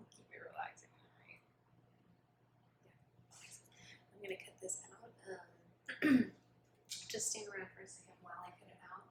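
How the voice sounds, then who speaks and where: Someone whispers at a moderate pace. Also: woman. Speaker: ASMR creator playing a tattoo artist. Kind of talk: ASMR roleplay, soft-spoken personal attention. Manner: soft-spoken, friendly, slightly awkward.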